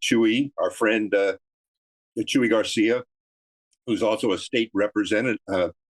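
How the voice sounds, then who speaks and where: A man talks at a moderate pace and medium pitch in a flat monotone with very even loudness. Long, frequent pauses break his speech, and the sound is dry and close with no echo and a quiet background. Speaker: political commentator. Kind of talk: political discussion.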